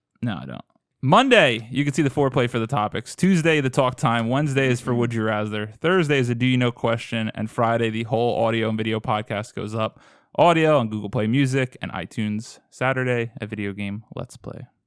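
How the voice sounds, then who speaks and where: With an American accent and an unremarkable speaking voice, a man talks at a fairly quick pace at medium pitch with ordinary pitch variation, on a very clean recording with a silent background. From Boston. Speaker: podcast host. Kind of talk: casual chat.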